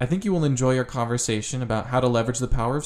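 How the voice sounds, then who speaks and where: A man's medium-pitched voice, an ordinary speaking voice, with ordinary pitch variation. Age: young. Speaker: youth advisory member, podcast intro voice. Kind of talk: scripted narration.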